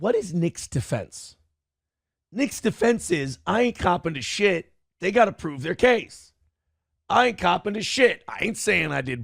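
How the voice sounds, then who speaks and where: At a fairly slow pace, the voice has an animated tone with very wide pitch swings, recorded in a dry, close sound with no echo. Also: man, high pitch for a man, very clean recording, silent background. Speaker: commentary youtuber. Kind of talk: casual commentary rant.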